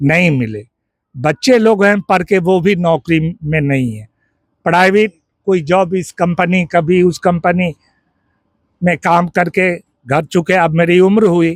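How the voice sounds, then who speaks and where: A man's high-pitched voice with ordinary pitch variation, in dry, close sound with no echo. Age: 60s. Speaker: villager interviewed by reporter. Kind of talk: street interview. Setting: outdoors at village tea stall.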